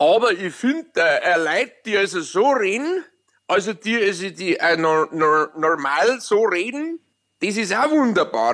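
A man with a Bavarian accent speaks at a high pitch with very wide pitch swings against a quiet background. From Munich, Bavaria. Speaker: radio host. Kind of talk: casual chat. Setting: at home with windows open.

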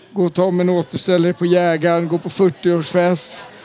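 A high-pitched man's voice over crowd noise in the background. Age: 50s. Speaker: football supporter. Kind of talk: interview.

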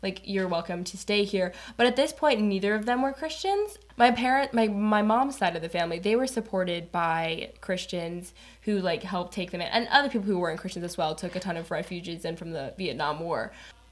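A woman talks at a fairly quick pace in a plain, everyday voice, with a General American accent. Her pitch is medium and her intonation lively. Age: 20s. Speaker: college student. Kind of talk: casual interview chat.

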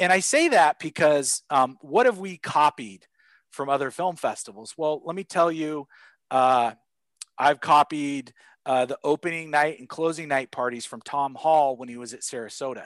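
A man with an American accent speaks at a moderate pace with ordinary pitch variation and big swings in loudness. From Portland, Oregon, US Pacific Northwest. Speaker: film festival co-founder and filmmaker. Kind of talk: interview. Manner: hesitant, many fillers.

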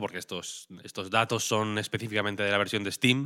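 A man speaks at a moderate pace and a fairly low pitch. His tone is bright and sharp. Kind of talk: casual news chat.

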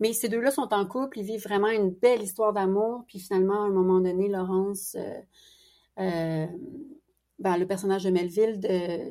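At a moderate pace and with fairly even intonation, a woman speaks in a dark, mellow tone. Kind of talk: interview conversation.

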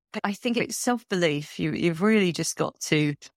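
Speech with a London accent at a moderate pace, ordinary pitch variation, and a dry, close sound with no echo. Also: woman. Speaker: heritage consultant. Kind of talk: interview. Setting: remote call.

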